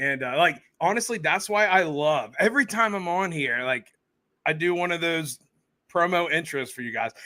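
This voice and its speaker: With an American accent, a man speaks at a moderate pace in a high pitch, his tone bright and sharp and his intonation lively, on a very clean recording with a silent background. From central Pennsylvania. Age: 30s. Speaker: podcaster. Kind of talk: casual chat. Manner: talkative.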